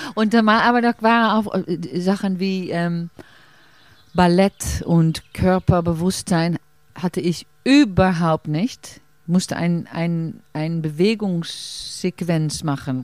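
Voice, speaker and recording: A woman with a Dutch accent speaks at a very slow pace in a fairly low pitch with ordinary pitch variation, captured dry and close with no echo on a very clean recording with a silent background. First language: Dutch (speaking German). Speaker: stage actress. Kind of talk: casual interview. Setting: outdoors in a garden. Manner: halting.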